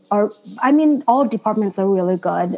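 A woman talks at medium pitch with a Vietnamese accent. Noticeable background noise is present. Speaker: doctoral student. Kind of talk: panel discussion.

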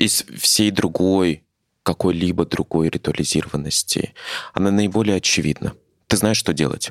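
A man's very deep, low voice at a moderate pace, with very even loudness, fairly even intonation, long, frequent pauses, and a dry, close sound with no echo. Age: young. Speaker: podcast host. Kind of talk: casual chat.

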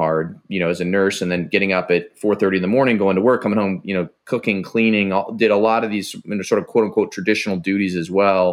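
With an American accent, a man uses an ordinary speaking voice at a fairly low pitch with fairly even intonation, on a very clean recording with a silent background. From Ohio, small town west of Cleveland. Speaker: former Navy SEAL and tech entrepreneur. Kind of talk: casual interview.

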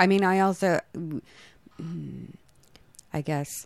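A woman's voice at a fairly low pitch. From San Francisco Bay Area. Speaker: singer-songwriter. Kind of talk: radio interview. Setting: radio studio. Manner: hesitant, many fillers.

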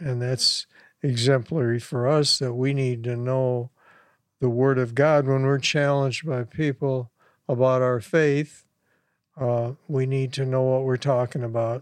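A man talks at a fairly slow pace in a flat monotone against a quiet background. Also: medium pitch for a man. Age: 80s+. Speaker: preacher. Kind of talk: sermon. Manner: hesitant, fillers.

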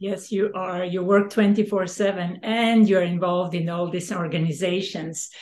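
A woman with a Serbian accent, monotone and flat, hardly any pauses, over noticeable background noise. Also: medium pitch for a woman, fairly slow pace. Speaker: podcast host and real estate advisor. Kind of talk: casual interview chat.

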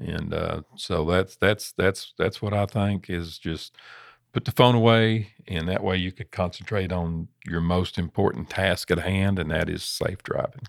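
On a very clean recording with a silent background, a man with a Southern US accent speaks at a fairly slow pace in a very deep, low pitch with ordinary pitch variation and a dry, close sound with no echo. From US South. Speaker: trucking safety director. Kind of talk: casual chat.

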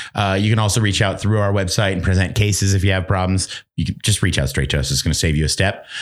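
Very fast and with hardly any pauses, a man talks at a very deep, low pitch with vocal fry, ordinary pitch variation and very even loudness. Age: 40s. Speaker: gear repair supervisor. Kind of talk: casual chat.

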